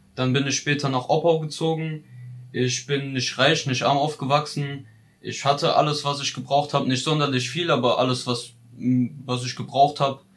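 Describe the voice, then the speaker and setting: There is noticeable background noise behind a man speaking at a moderate pace. His pitch is fairly high, and his intonation is monotone and flat. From Ludwigshafen, Palatinate, Germany. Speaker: vocational trainee. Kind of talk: personal narrative.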